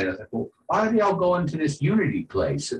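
Talking at a fairly quick pace, a man with an American accent has a fairly high pitch and vocal fry. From US South, New Orleans. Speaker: poet and sound musician. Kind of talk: casual interview chat. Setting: video call from home music room. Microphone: rough connection.

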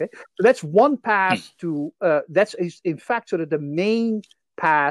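In a Dutch accent, a woman with a medium pitch makes very wide pitch swings, in a dry, close sound with no echo against a quiet background. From Netherlands. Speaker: history of science professor. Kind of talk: casual interview.

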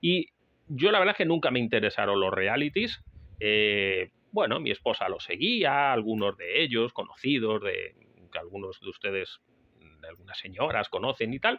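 Speaking at a moderate pace, a man's voice swings widely in loudness. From Spain. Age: 40s. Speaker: podcast host and survival instructor. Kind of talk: solo podcast monologue. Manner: halting, with frequent fillers.

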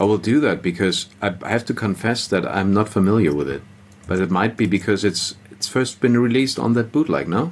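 Talking at a fairly quick pace, a man with a fairly low pitch uses lively intonation. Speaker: musician and concert organiser. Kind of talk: casual interview chat.

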